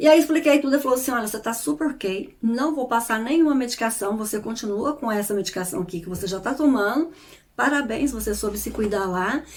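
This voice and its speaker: Talking at a fairly quick pace, a woman has an ordinary speaking voice, a fairly high pitch and lively intonation. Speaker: YouTuber and therapist. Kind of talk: casual vlog talk.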